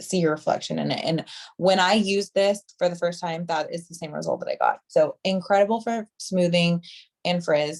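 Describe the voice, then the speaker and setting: Speaking in an ordinary speaking voice, a woman talks at a fairly low pitch and moderate pace with big swings in loudness, the sound dry and close with no echo. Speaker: hairstylist and product trainer. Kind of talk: product training on video call. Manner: casual, filler-heavy.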